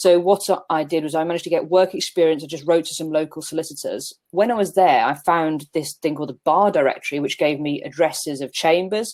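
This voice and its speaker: The woman has a Brummie accent and a fairly low pitch. She talks at a very fast pace with hardly any pauses. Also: ordinary pitch variation. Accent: Birmingham (Brummie). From Birmingham, England. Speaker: barrister. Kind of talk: panel discussion.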